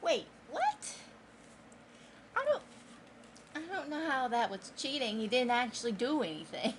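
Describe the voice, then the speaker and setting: A high-pitched woman talks at a moderate pace with very wide pitch swings and long, frequent pauses. Noticeable background noise can be heard. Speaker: book vlogger. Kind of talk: casual reading vlog. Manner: quiet.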